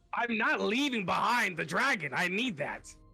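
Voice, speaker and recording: Someone performs a put-on character voice at a moderate pace while faint music plays in the background. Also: man, high pitch for a man. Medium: actual play. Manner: fast, flustered, repetitive.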